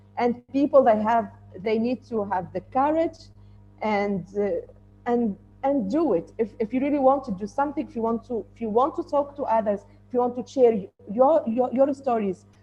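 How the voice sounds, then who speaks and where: The speaker keeps a moderate pace with ordinary pitch variation and big swings in loudness, while music plays in the background. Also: woman, high pitch for a woman. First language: not English. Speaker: woman in tech. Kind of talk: panel discussion. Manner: halting.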